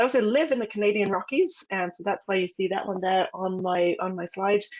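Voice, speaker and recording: A woman in a British accent at medium pitch, her pitch varying in an ordinary way, talking at a fairly quick pace. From England. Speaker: expedition leader, naturalist. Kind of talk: webinar presentation. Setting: online webinar, camera off.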